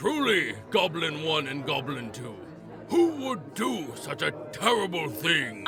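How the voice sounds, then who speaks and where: A man puts on a character voice at a fairly high pitch and a fairly slow pace. Clear background noise is present. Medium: audio drama. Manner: grandiose, commanding.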